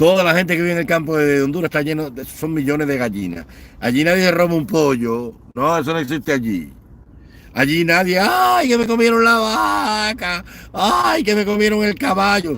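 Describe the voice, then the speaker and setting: With a bright, sharp, animated tone, a man talks at a moderate pace, his fairly high pitch making very wide swings. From Cuba. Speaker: online political commentator. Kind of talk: livestream commentary rant. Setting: live online stream. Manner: animated, impassioned.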